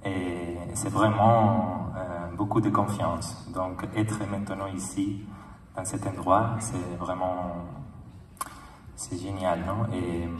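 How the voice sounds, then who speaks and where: A man with a Spanish accent speaks fairly low, at a very slow pace with fairly even intonation and long, frequent pauses. Audible room echo and noticeable background noise fill the recording. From Spain. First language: Spanish (speaking French). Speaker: film director. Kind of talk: festival speech. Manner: halting.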